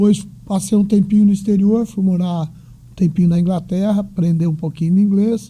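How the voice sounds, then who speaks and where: The tone of this man's voice is dark and mellow. He keeps a fairly level intonation. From Brazil, Bauru (São Paulo state). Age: 60s. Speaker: retired executive and economist. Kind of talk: interview.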